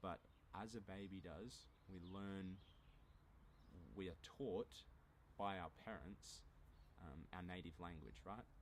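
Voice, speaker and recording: A man speaks in an Australian accent with a very deep, low pitch and vocal fry. His pace is fairly slow. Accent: mild Australian. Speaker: language teacher YouTuber. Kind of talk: casual monologue, language lesson. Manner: moderate pace, clear.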